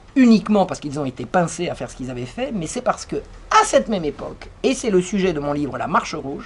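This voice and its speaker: In an animated tone, a woman's voice moves through very wide pitch swings. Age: 60s. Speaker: author and lecturer. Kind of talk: lecture.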